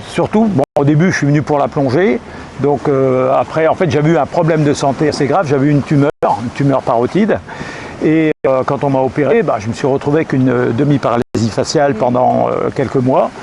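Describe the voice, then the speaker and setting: Noticeable background noise behind a man at a fairly quick pace, with very even loudness and ordinary pitch variation. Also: fairly high pitch for a man. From France, Brittany (Finistère, Plogoff). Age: 60s. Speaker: retired expat. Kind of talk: interview.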